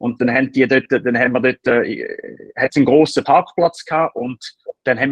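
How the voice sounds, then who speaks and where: A man talks at a fairly quick pace. He has an unremarkable speaking voice at medium pitch. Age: 30s. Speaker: startup founder. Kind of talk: interview. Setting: remote call. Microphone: poor audio quality.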